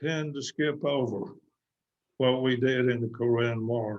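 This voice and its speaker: In a Texan accent, a man speaks at a fairly slow pace and a medium pitch. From West Texas. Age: 90s. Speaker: war veteran. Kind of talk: interview. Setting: video call.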